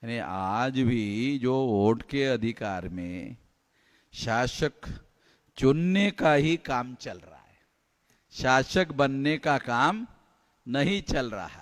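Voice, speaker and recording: A man's medium-pitched voice, animated and lively in intonation, with big swings in loudness, on a very clean recording with a silent background. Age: 60s. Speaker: activist organization leader. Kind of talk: political speech. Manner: animated, repetitive oratory.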